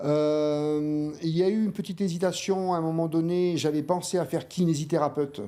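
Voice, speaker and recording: A man with a fairly high pitch speaks in a dark, mellow tone at a moderate pace. His intonation is fairly even, his loudness very even, and he hardly pauses. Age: 60s. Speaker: manual therapist and osteopath. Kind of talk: interview. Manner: hesitant, many fillers.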